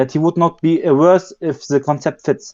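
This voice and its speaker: At a moderate pace, a man with a non-native accent speaks in a fairly high pitch and a dark, mellow tone, the sound dry and close with no echo. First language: not English. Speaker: community member asking a question. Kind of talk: live community call. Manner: halting, many fillers.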